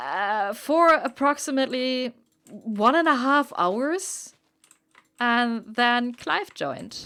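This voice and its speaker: With a German accent, a woman talks at a very slow pace in a high, bright, sharp voice with lively intonation. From Germany. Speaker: streamer. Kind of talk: casual chat. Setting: live stream.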